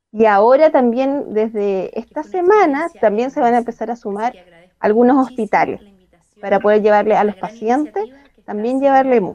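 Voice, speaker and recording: This woman talks at a moderate pace in an unremarkable speaking voice, her pitch varying in an ordinary way. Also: fairly high pitch for a woman. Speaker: project coordinator for elderly. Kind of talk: casual chat.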